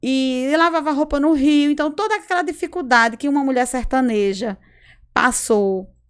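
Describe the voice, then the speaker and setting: On a very clean recording with a silent background, a woman with a northeastern Brazilian accent speaks with lively intonation. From Brazil, Rio Grande do Norte. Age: 40s. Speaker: public health worker and entrepreneur. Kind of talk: casual interview. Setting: studio.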